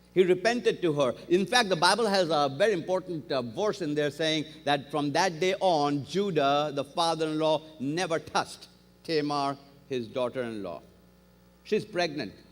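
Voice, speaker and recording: With a non-native accent, a man speaks at a moderate pace in a fairly high pitch, his intonation lively. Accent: foreign accent, noticeable. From outside the US, came to America at 20. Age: 50s. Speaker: guest preacher. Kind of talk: sermon. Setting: church service with congregation. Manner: animated storytelling.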